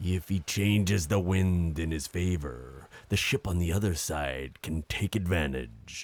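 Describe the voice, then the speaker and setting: In a put-on character voice with a very deep, low pitch, a man speaks with hardly any pauses in a very clean recording with a silent background. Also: fairly slow pace, ordinary pitch variation. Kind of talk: nautical pirate-era speech. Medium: audio drama. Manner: commanding, declamatory.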